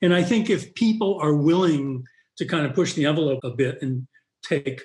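A man's somewhat breathy voice in an American accent, with lively intonation and a moderate pace. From US Northeast, Boston. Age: 70s. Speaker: physician, pulmonologist. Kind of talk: interview.

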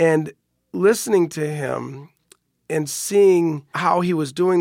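A man talks in a plain, everyday voice, fairly high in pitch with ordinary pitch variation. The recording is very clean and dry, close with no echo, over a silent background. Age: 40s. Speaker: radiation oncologist. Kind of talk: interview. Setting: studio.

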